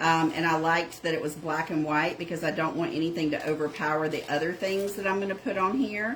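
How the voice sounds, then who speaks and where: A woman with a Southern accent speaks at a very fast pace with hardly any pauses, amid audible room echo and noticeable background noise. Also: fairly low pitch for a woman, ordinary pitch variation. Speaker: craft channel host. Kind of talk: live-stream craft tutorial.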